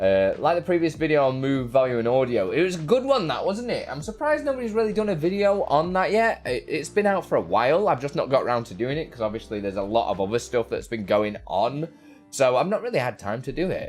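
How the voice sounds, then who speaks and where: Talking at a very fast pace with hardly any pauses, a man with a northern English accent uses a fairly high pitch and very wide pitch swings. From northern England, Derbyshire. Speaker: tech streamer. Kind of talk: live stream chat. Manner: casual, halting.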